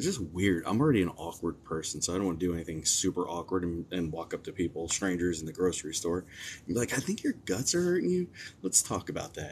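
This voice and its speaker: The voice is quiet and has ordinary pitch variation. It moves at a very fast pace. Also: man, very deep, low pitch for a man. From New Jersey, moved around US. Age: 40s. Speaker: psychic medium, livestream host. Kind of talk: casual livestream chat. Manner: quiet, kept low.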